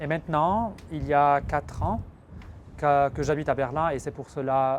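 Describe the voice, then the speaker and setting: Here a man speaks with an Arabic accent at a moderate pace. His pitch is fairly high, with ordinary variation. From Lebanon. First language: Arabic (speaking French). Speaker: filmmaker. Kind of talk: interview. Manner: hesitant.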